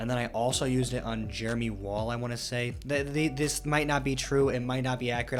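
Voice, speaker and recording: Very fast speech with hardly any pauses plays over music in the background, with audible room echo. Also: man. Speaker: gaming youtuber. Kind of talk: gameplay commentary. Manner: animated.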